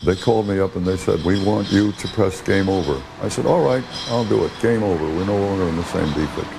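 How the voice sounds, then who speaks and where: Over noticeable background noise and audible room echo, a man with a very deep, low voice speaks very fast. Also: ordinary pitch variation. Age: 80s+. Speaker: commune founder. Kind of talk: interview testimony.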